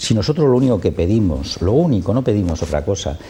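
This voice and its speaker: Amid noticeable background noise, a man speaks at a fairly quick pace with very wide pitch swings. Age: 60s. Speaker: association president. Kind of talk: TV interview.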